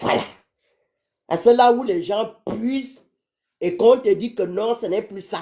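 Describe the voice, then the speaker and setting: A woman with a dark, mellow tone speaks at a very slow pace, her fairly high pitch swinging very widely. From Gabon. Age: 60s. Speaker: caller to a live stream. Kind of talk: live stream call-in.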